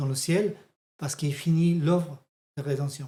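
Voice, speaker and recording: A man's fairly high-pitched, dark, mellow voice at a moderate pace, with a slight non-native accent. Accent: slight foreign accent in French. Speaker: theology teacher. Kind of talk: bible teaching lesson. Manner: halting.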